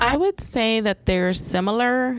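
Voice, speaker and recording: Speaking fairly slowly with a Spanish accent, a woman shows ordinary pitch variation. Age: 40s. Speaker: 911 dispatch supervisor. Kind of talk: podcast interview. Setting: dispatch center.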